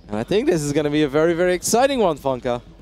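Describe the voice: Talking at a very fast pace, a man uses a fairly high pitch with big pitch swings and a slightly mellow tone.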